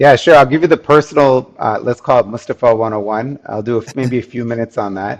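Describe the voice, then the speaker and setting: A man's voice at medium pitch with ordinary pitch variation, a plain, everyday voice. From US, New Jersey. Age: 50s. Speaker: food company founder. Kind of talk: podcast interview.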